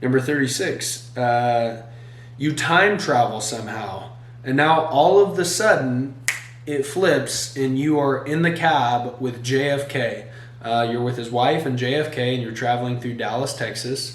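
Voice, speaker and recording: At a fairly slow pace, a man speaks with ordinary pitch variation amid noticeable background noise and audible room echo. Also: medium pitch for a man. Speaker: solo YouTuber. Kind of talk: casual monologue reading questions. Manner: halting with fillers.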